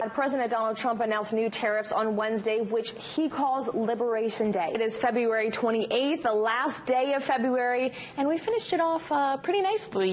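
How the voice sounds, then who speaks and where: Through noticeable background noise, a woman talks at a moderate pace with high pitch and ordinary pitch variation. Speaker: TV news anchor and reporter. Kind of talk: TV news anchor read. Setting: studio.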